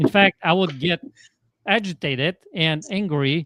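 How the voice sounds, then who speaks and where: A man with a Polish accent and lively intonation, recorded dry and close with no echo against a quiet background. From Poland. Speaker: transformational coach. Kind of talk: podcast interview.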